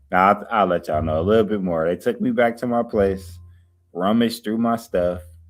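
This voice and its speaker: Music plays in the background as a man speaks. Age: 40s. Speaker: YouTuber. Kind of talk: livestream chat; testimony. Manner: calm.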